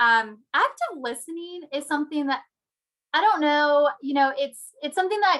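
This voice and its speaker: Her voice raised and projected, a woman speaks at a moderate pace with a high pitch, a bright, sharp tone and ordinary pitch variation. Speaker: accounting firm recruiter presenting to students. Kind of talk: presentation over video call.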